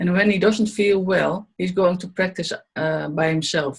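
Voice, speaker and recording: With a Dutch accent, a woman talks at a fairly slow pace in a somewhat breathy voice, her pitch varying in an ordinary way. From Netherlands. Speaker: Buteyko trainee and student. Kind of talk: interview testimony. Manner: halting.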